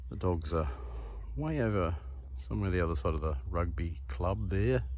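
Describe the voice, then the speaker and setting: With very wide pitch swings, a man speaks in a very deep, low pitch, and the sound is dry with no echo. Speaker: vlogger. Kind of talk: casual vlog chat. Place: open country. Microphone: phone near.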